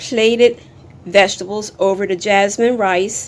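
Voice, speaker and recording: Very slowly, a woman talks with fairly even intonation. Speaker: cooking channel host. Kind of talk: cooking tutorial.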